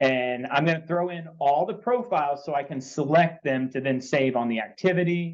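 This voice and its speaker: With an unremarkable speaking voice, a man of fairly high pitch talks at a moderate pace with ordinary pitch variation. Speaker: coding instructor. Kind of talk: lecture.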